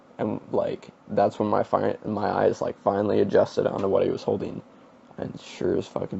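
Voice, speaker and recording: The man here talks at a fairly slow pace. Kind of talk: casual storytime talk to camera.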